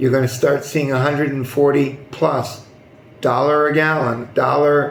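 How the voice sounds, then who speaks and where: With an American accent, a man speaks at a fairly high pitch in a flat monotone, with audible room echo. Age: 60s. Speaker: news commentary youtuber. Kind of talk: news commentary monologue. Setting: hot non-air-conditioned building. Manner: hesitant, many fillers.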